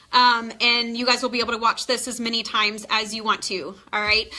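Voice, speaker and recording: A woman speaks with an American accent. Noticeable background noise runs behind her. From Texas. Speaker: nurse practitioner and nursing tutor. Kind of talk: live-streamed tutoring lesson. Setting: live stream. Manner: fast; animated.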